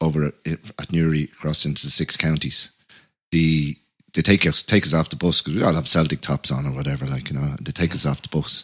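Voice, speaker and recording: Dry and close with no echo, a man's very deep, low voice moves at a fairly quick pace in a Dublin accent. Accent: Dublin Irish. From Ireland. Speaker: musician and podcast host. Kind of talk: casual chat.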